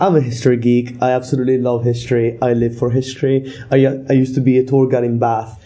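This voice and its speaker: A man with an Italian accent at a very fast pace, his pitch medium. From Italy. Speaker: deputy editor of student paper. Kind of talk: casual discussion.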